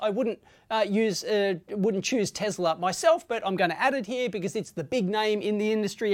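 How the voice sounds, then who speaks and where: A woman with an Australian accent speaks fairly quickly in a fairly high voice. The recording is very clean, with a silent background. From Australia, Sydney. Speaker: tech YouTuber. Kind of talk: tutorial. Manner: casual, with fillers.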